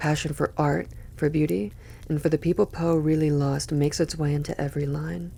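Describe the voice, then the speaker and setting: A soft-spoken woman with a very deep, low pitch, a relaxed tone and a moderate pace. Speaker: poetry reader. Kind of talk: reading aloud; casual commentary.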